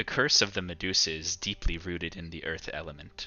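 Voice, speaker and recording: Using a put-on character voice with a very deep, low pitch, a man talks at a fairly quick pace. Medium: actual play. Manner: solemn, measured.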